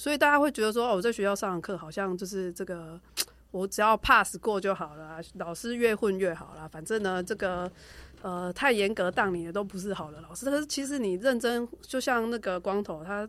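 Here a woman talks with a Taiwanese accent. Her pitch is medium and her intonation lively. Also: fairly quick pace. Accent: Taiwanese Mandarin. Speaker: rehabilitation doctor. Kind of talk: casual chat.

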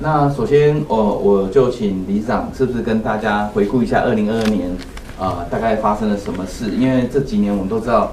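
Over noticeable background noise and audible room echo, a man speaks at a fairly quick pace with medium pitch and ordinary pitch variation. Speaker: host, property developer. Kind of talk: casual chat. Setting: livestream. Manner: halting.

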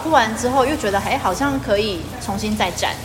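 A woman's medium-pitched voice, fairly quick and lively in intonation, with noticeable background noise and audible room echo. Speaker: teacher. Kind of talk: casual chat. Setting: at a dinner table.

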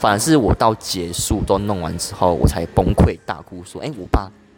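A man talks with music in the background. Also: big swings in loudness. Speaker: podcast guest. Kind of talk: casual chat. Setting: coffee shop.

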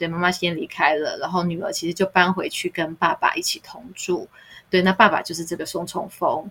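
Her speech comes at a fairly quick pace, with medium pitch for a woman, fairly even intonation and a plain, everyday voice. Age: middle-aged. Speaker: podcast co-host. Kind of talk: casual chat.

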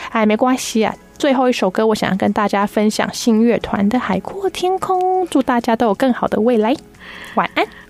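A woman's fairly high voice makes very wide pitch swings while her loudness stays very even. Her pace is moderate. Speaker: substitute radio host, detective agency employee. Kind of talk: casual chat. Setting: radio studio.

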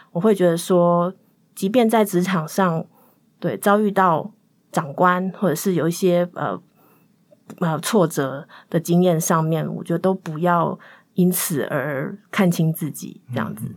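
A woman's fairly low voice at a fairly slow pace, with ordinary pitch variation and long, frequent pauses. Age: 30s. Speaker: podcast guest. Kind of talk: personal storytelling.

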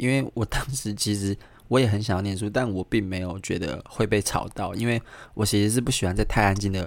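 A soft-spoken man with a fairly low pitch at a fairly quick pace, in a very clean recording with a silent background. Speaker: podcast host. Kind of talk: casual solo monologue. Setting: home apartment room, recorded near midnight. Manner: soft-spoken, keeps voice low late at night.

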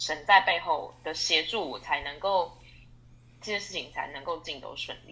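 At a moderate pace, a woman speaks with big swings in loudness. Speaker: export sales manager. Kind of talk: testimony interview. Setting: online interview. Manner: hesitant with many fillers.

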